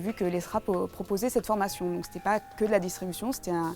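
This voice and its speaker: The speaker talks at a fairly quick pace with ordinary pitch variation. Music plays in the background. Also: woman. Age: 20s. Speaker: film distribution professional, alumna. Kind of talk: testimonial interview. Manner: hesitant, many repetitions and fillers.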